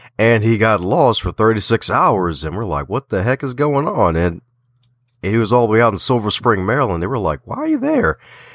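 A man's animated, medium-pitched voice with a slight Southern US accent, lively intonation and a fairly quick pace, in a very clean recording with a silent background and a dry, close sound with no echo. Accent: American with a slight Southern twang. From Baltimore. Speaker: author, podcaster and speaker. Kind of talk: interview.

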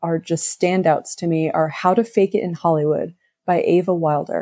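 A woman's fairly low voice, an ordinary speaking voice, at a moderate pace with fairly even intonation and a dry, close sound with no echo. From US, moved around (Navy family). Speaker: novelist. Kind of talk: casual interview.

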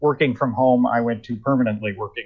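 A man with an ordinary speaking voice and fairly even intonation. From US Northeast (Rockland County NY / northern New Jersey). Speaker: political writer and former lawyer. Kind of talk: casual chat.

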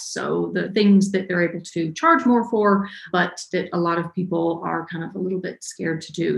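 A woman with an American accent has an unremarkable speaking voice at medium pitch. She speaks at a moderate pace with fairly even intonation. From US South, North Georgia. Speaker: web developer and online educator. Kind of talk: interview.

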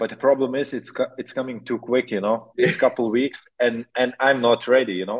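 This man talks at a moderate pace with a medium pitch in a plain, everyday voice. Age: 20s. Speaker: motocross rider. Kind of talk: interview.

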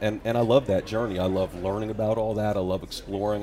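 Over music in the background, a man with an American accent speaks at a very fast pace with fairly even intonation. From New York. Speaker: author. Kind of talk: interview on talk show.

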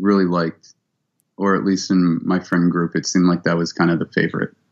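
A man with a Midwestern American accent. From Ohio (Cleveland). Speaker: musician. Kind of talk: interview. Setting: video call.

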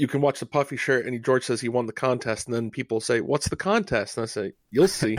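An American-accented man speaks in a plain, everyday voice at medium pitch and a fairly quick pace, with hardly any pauses. The sound is dry and close with no echo, in a very clean recording with a silent background. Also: ordinary pitch variation. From Rhode Island, US. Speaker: fan podcast co-host. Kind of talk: casual interview chat.

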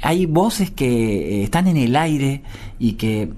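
Lively intonation shapes a man's dark, mellow voice at a medium pitch. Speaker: musician and bandleader. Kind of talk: interview. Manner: halting, many fillers and repetitions.

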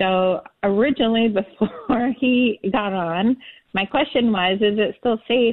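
A woman's fairly high voice with ordinary pitch variation, at a fairly slow pace. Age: 50s. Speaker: self-employed caller. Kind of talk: radio call-in question. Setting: phone call. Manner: hesitant.

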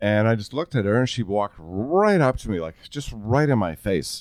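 Lively intonation marks a man's voice, recorded very cleanly with a silent background and a dry, close sound with no echo. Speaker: real estate radio host and former paramedic. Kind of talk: casual chat. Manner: projects loudly.

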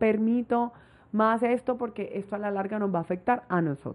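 A woman has an ordinary speaking voice at a moderate pace. Her pitch variation is ordinary. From Colombia, Barranquilla (Caribbean coast). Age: 20s. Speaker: travel influencer. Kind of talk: casual interview. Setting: host's apartment.

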